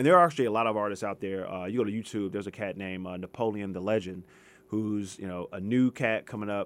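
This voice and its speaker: A man with an American accent, fairly low in pitch, at a very fast pace, in a very clean recording with a silent background. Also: ordinary pitch variation. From US West Coast, Los Angeles. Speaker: history professor. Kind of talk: radio interview. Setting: radio studio.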